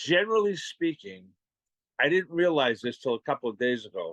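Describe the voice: A man with a Boston accent, fairly high-pitched with a fairly bright tone and big pitch swings, at a moderate pace, in a dry, close sound with no echo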